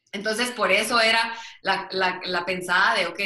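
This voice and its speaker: This woman talks in a monotone with flat intonation. Audible room echo surrounds her voice. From Guatemala City. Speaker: business administrator and book author. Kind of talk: interview.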